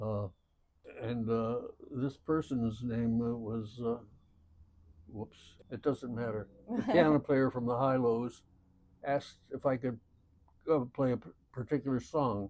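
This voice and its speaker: Speaking with an American accent, a man uses a medium pitch and fairly even intonation at a fairly slow pace. Long, frequent pauses break his speech over noticeable background noise. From Michigan, USA. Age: 80s+. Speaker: musician. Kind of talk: interview answer.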